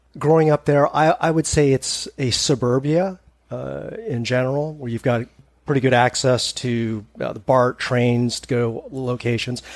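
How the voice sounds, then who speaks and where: A man speaks at a fairly slow pace with a West Coast accent. His voice sits at a medium pitch. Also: fairly even intonation. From Northern California, East Bay. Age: 50s. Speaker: hiker. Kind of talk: casual chat.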